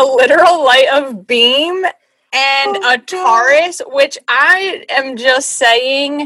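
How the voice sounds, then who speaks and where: A woman with a high pitch and a bright, sharp tone, in a raised, projected voice at a very slow pace, with ordinary pitch variation and hardly any pauses. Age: 20s. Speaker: podcast host. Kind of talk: casual chat.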